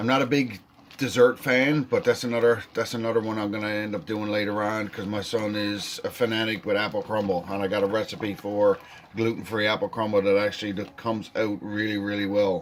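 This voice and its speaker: Speech comes at a fairly quick pace with a slight Newfoundland accent and fairly even intonation. Background noise is noticeable. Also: man, fairly low pitch for a man. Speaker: home cook. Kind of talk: cooking tutorial. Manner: casual.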